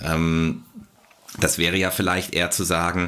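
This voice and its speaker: A man speaks with a very deep, low pitch. His voice has vocal fry. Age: 40s. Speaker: sports physician. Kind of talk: casual chat. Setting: remote call.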